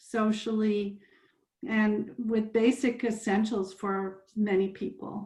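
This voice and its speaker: Very slow and somewhat breathy, a woman speaks at a fairly high pitch with monotone, flat intonation. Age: 70s. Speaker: participant in interfaith climate discussion. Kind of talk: sharing personal story in group discussion.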